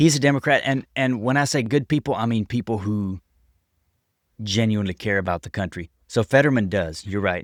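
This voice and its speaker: With an American accent, a man of fairly low pitch speaks at a fairly quick pace with ordinary pitch variation, recorded dry and close with no echo on a very clean track with a silent background. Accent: unique. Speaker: city council member and business owner. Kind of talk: casual chat.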